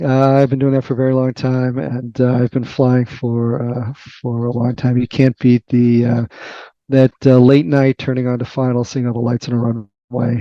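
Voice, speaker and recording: A man speaks in a Boston accent at a moderate pace. His intonation stays monotone and flat. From Boston, US. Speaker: tech research executive and author. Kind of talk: podcast interview. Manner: hesitant, many fillers.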